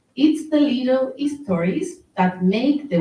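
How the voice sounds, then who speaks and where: A woman with a Spanish accent speaks at a fairly slow pace, her voice somewhat breathy with very wide pitch swings. Room echo is audible. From Spain, Murcia. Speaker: engineer and anti-racism activist. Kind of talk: talk at online event. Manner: halting, with fillers.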